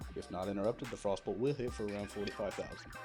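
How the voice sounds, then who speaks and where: A man's very fast speech with ordinary pitch variation over music in the background. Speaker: gaming guide narrator. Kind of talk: game tutorial voice-over. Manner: a little mumbly.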